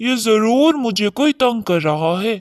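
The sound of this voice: This cartoonish character voice sits at a fairly high pitch and moves at a moderate pace.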